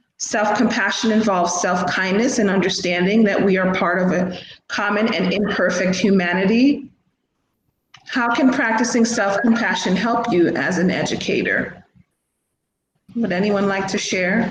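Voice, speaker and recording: Audible room echo surrounds a woman speaking at a moderate pace in a somewhat breathy, medium-pitched voice with ordinary pitch variation. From Jamaica. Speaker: educator. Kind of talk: conference presentation.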